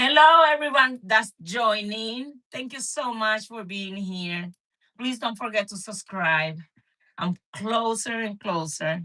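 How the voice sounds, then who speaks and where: With a Spanish accent, a woman speaks at a very slow pace, her intonation lively and her loudness swinging widely. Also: fairly high pitch for a woman. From Dominican Republic. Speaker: cooking channel host. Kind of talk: casual live stream chat.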